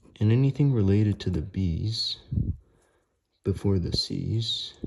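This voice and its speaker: Soft-spoken, somewhat breathy man at a fairly low pitch, fairly slow pace and ordinary pitch variation. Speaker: math tutor. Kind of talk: math tutorial explanation.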